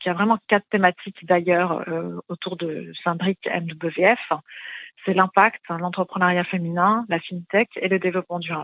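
A woman's fairly low, monotone voice with flat intonation, a fairly slow pace, and big swings in loudness. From Middle East. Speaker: finance think tank president. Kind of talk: radio interview. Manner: halting, many fillers.

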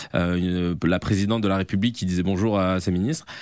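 A man talks at a very fast pace. His pitch is very deep and low, with ordinary variation. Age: 30s. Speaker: comedian and video creator. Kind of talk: interview. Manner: hesitant, many fillers.

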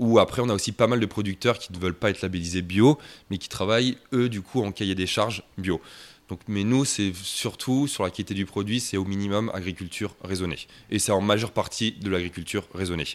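A man with a plain, everyday voice speaks at a fairly quick pace with a fairly low pitch and ordinary pitch variation, on a very clean recording with a silent background. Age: 30s. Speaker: shop and restaurant owner, pastry chef. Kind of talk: interview.

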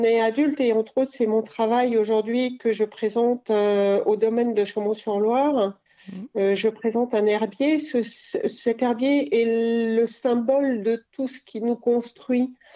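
A woman talks at a very slow pace in a fairly high pitch with a dark, mellow tone. Her intonation stays fairly even. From France, Cantal. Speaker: botanical gilder, craftswoman. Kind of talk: radio interview. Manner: halting.

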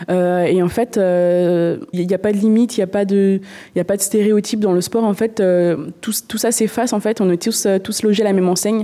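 An ordinary speaking voice moves at a moderate pace with fairly even intonation. Its loudness stays very even throughout. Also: woman, medium pitch for a woman. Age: 20s. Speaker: paralympic canoeist. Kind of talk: interview.

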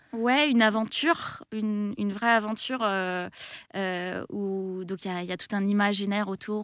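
On a very clean recording with a silent background, a woman speaks at a medium pitch. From France, Île-de-France (Melun). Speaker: game designer and event organizer. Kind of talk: radio interview. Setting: radio studio. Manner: hesitant, many fillers and repetitions.

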